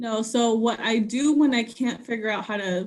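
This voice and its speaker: With a Spanish accent, a woman talks at a fairly high pitch. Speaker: TV news reporter. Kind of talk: casual interview. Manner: casual, many fillers.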